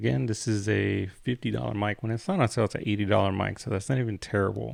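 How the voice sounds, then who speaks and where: Against a quiet background, a man with vocal fry talks at a very fast pace, his pitch fairly low with ordinary variation. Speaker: tech reviewer, streamer. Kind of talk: product review on live stream. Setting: live stream. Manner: casual, conversational.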